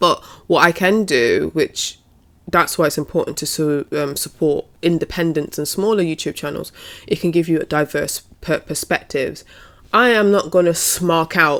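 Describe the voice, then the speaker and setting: A woman with a British accent speaks at a moderate pace in a fairly low pitch, with ordinary pitch variation. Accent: UK. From UK. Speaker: wrestling commentator and YouTuber. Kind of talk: casual vlog commentary. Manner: hesitant, with fillers and restarts.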